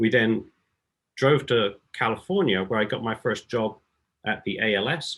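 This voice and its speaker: A man with an English accent. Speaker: beamline scientist. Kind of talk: scientific talk.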